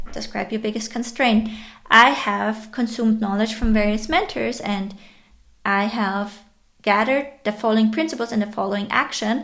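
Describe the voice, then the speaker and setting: Speaking at a moderate pace, a woman with a non-native accent uses a fairly high pitch. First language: not English. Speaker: online educator and entrepreneur. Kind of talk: tutorial.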